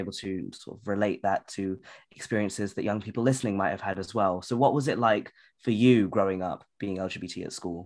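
Speaking at a fairly quick pace, a man with a fairly low pitch has a British accent. The background is quiet. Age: 20s. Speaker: podcast host. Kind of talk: interview.

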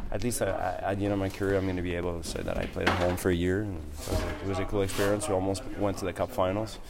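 A man's very deep, low voice at a very fast pace, hardly any pauses, fairly even intonation, audible room echo and noticeable background noise. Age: 30s. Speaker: professional hockey player. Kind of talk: interview.

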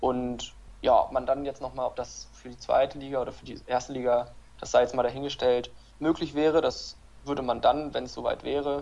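A man's voice at a moderate pace. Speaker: handball referee and former player. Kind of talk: interview.

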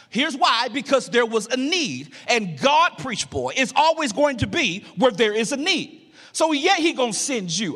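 A man with an American accent speaks at an extremely high pitch. His pitch swings very widely at a moderate pace. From Louisiana, Alexandria. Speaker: guest preacher. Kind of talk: sermon. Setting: church. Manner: animated.

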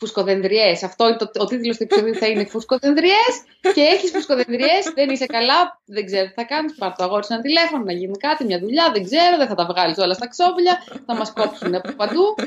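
Against noticeable background noise, a woman talks at a fairly quick pace with a fairly high pitch and very wide pitch swings. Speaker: podcast co-host. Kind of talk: casual chat. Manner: animated. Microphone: poor sound quality, mic misused until now.

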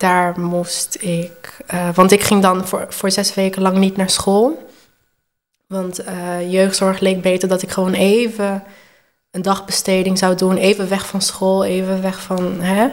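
Her words come out very slowly. The woman's delivery is flat and monotone. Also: medium pitch for a woman. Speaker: transgender woman sharing her story, hairdresser. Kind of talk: personal testimony in interview.

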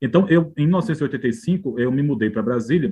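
A man talks at a moderate pace. He has a normal speaking voice. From Northeast Brazil, João Pessoa (Paraíba). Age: 50s. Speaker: biographer and journalist. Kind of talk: interview conversation.

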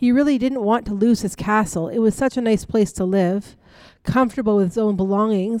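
Ordinary pitch variation in reading aloud with a natural voice

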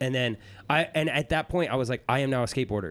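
A man with an American accent talks at a very fast pace on a very clean recording with a silent background. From US Northeast, rural Pennsylvania. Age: 30s. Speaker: former pro snowboarder. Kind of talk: interview conversation. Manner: halting.

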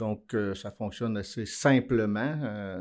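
On a very clean recording with a silent background, a man with a fairly low pitch speaks at a very slow pace. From Quebec, Abitibi-Témiscamingue. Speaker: mining business executive. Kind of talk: interview. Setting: studio. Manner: halting.

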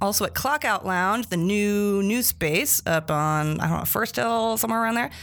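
A woman speaks in a normal speaking voice at medium pitch with lively intonation and very even loudness. Her pace is moderate, and the recording is very clean with a silent background. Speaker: podcast host. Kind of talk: casual chat. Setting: studio.

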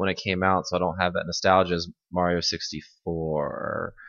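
A man is speaking. The background is quiet. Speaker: podcast host. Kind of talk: casual chat.

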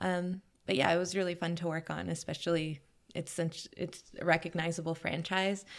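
With an American accent, the speaker keeps a moderate pace and a monotone, flat intonation. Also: woman, fairly low pitch for a woman. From New York, Queens. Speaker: costume designer. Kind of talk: casual chat.

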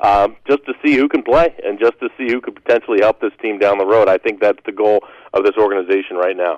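Recorded with a dry, close sound with no echo and a quiet background, a man speaks at a very fast pace with a fairly low pitch and ordinary pitch variation. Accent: American. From Western Pennsylvania. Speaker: play-by-play announcer. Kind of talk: radio interview.

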